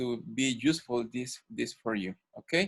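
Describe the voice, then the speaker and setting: Speaking at a very slow pace, a man talks in a Spanish accent. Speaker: ENT doctor and guest lecturer. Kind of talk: medical lecture. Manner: halting, many fillers.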